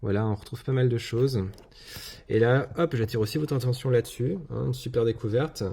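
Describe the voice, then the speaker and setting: A man talks at a medium pitch with ordinary pitch variation. His voice sounds somewhat breathy. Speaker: YouTube card collector. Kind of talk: casual video commentary, unboxing. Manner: hesitant, many filler words.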